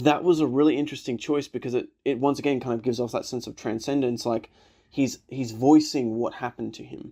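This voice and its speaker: Dark, mellow tone in an Australian accent, fairly even intonation, big swings in loudness and a fairly quick pace, on a very clean recording with a silent background. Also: man, medium pitch for a man. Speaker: film reaction youtuber. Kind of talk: casual film review commentary. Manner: casual, hesitant with many fillers.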